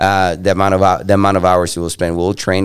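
In a very clean recording with a silent background, a man speaks at a very deep, low pitch in a monotone, flat intonation. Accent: Spanish. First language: Spanish. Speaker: monster truck driver. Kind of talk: casual chat. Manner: halting.

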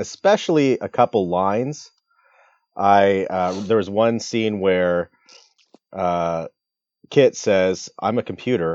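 A man with an American accent talks at a very slow pace, with long, frequent pauses. His pitch is fairly low with ordinary variation, and the sound is dry and close with no echo. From US Midwest. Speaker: podcast co-host. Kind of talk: casual chat.

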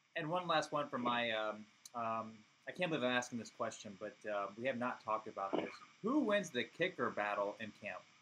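A plain, everyday voice: a man with an American accent, medium pitch, and lively intonation. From US. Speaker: football fan. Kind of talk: casual chat. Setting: studio.

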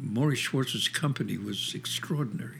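Speaking with a New York accent, the voice moves at a moderate pace with ordinary pitch variation. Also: man. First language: Yiddish. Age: 80s+. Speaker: theater director and actor. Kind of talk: interview.

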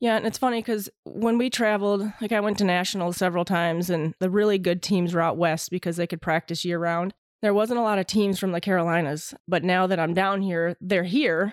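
A woman with an American accent uses an ordinary speaking voice at medium pitch, fairly quick in pace with hardly any pauses. Her intonation is fairly even, her loudness very even, and the recording very clean with a silent background. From Michigan, Waterford. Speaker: former police officer. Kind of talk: casual interview.

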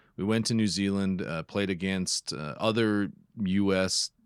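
In a very clean recording with a silent background, a man with a Minnesota accent speaks at a very deep, low pitch, the sound dry and close with no echo. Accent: Upper Midwest (Minnesota) American. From northeastern Minnesota. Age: 30s. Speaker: photographer and podcaster. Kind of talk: casual interview chat. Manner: halting, frequent word repetitions.

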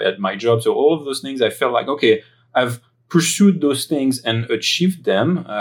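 A man with a French accent, lively intonation and a moderate pace. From France, Paris area. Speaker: philosopher and IT director. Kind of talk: interview testimony. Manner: hesitant, many fillers.

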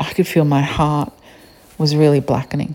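This woman has an Australian accent and a very deep, low pitch. She talks at a moderate pace. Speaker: podcaster. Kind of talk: solo podcast monologue.

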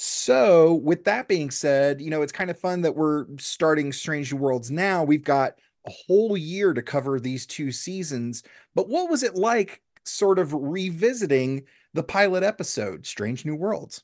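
A man talks in an ordinary speaking voice. His intonation is lively. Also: fairly high pitch for a man. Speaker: podcast host and comedian. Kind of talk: casual chat, comedy podcast interview.

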